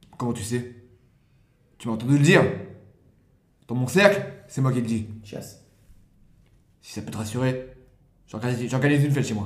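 With audible room echo, a somewhat breathy man talks at a moderate pace, his loudness swinging widely between long, frequent pauses. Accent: slight Champagne. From Champagne-Ardenne, near Reims. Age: young. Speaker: aspiring actor and comedian. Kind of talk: casual chat.

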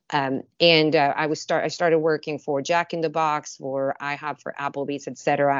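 The speaker uses a Spanish accent, keeping a moderate pace and fairly even intonation. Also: woman. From Mexico (Mexicali, border city). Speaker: food and beverage company director. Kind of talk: interview.

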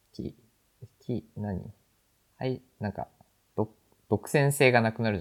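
The sound is dry and close with no echo, carrying a man's medium-pitched voice with ordinary pitch variation. He talks at a moderate pace with long, frequent pauses. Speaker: podcast host. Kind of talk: casual chat. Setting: remote recording.

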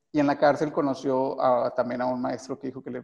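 Moving at a fairly quick pace, a man with a fairly high pitch speaks in a dark, mellow tone. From Mexico, Monterrey (Guadalupe, Nuevo León). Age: 30s. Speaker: film director. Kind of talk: interview. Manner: halting, many fillers and repetitions.

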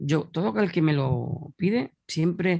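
A man speaks with an Andalusian accent. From Andalusia, Spain (Huelva). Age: 40s. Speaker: mixed martial arts commentator and author. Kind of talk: casual interview.

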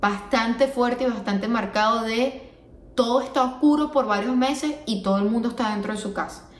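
A woman's fairly high voice, with ordinary pitch variation, comes through audible room echo and noticeable background noise. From Venezuela. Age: 20s. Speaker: podcast host. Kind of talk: solo podcast monologue. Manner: casual, with frequent fillers.

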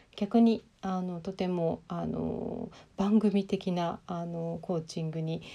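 Fairly low in pitch, a woman speaks in a dark, mellow tone with fairly even intonation. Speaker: life coach and podcaster. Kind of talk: casual monologue.

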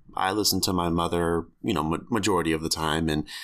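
Speaking at a fairly quick pace, a man uses a very deep, low voice. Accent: American. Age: 20s. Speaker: podcaster telling memoir. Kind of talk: scripted-style personal memoir narration. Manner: candid, casual, conversational.

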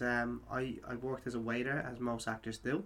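Here a man speaks with an Irish accent. His pitch is medium and his pace moderate. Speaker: podcast host. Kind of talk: interview.

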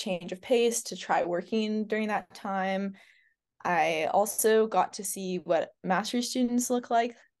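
Against a quiet background, a woman uses a normal speaking voice, speaking at a fairly slow pace with ordinary pitch variation. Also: big swings in loudness. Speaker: ecology PhD student. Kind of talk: casual interview chat.

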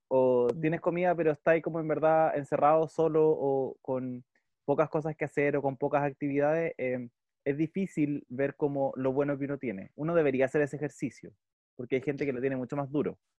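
Fairly quick speech from a man with a Chilean accent, a fairly high pitch, and fairly even intonation. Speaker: podcast co-host. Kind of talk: casual chat.

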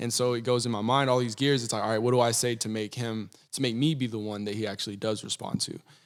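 Talking at a very fast pace with hardly any pauses, a man in an American accent keeps a medium pitch and a monotone, flat intonation. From Texas. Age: young. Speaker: rapper. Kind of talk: casual chat.

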